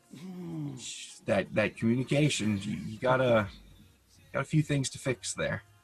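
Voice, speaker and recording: A medium-pitched man speaks with lively intonation and big swings in loudness. There are long, frequent pauses, with music in the background. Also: moderate pace. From Canada. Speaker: podcast co-host. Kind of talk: casual chat. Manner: halting.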